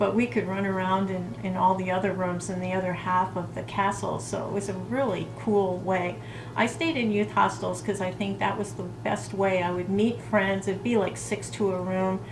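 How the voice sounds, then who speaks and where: The speaker talks at a moderate pace with lively intonation and hardly any pauses, over noticeable background noise. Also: woman, medium pitch for a woman. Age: 60s. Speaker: lifestyle vlogger. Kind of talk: casual talk to camera.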